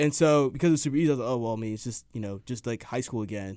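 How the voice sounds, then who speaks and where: A man talks at a very fast pace with an American accent. His tone is dark and mellow. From Dallas suburbs, Texas. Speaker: college student. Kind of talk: casual chat.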